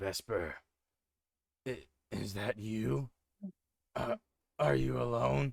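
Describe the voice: Using a put-on character voice with a fairly low pitch, a man speaks at a very slow pace with very wide pitch swings and long, frequent pauses.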